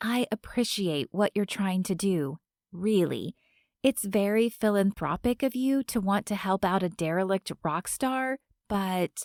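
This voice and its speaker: In a put-on character voice, a woman hisses at a fairly slow pace and a medium pitch, her loudness very even. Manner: low, hissed, pointed.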